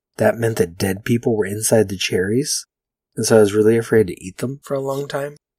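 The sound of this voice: Pitch moves in an ordinary way through an unforced reading voice. Nothing much sounds in the quiet background.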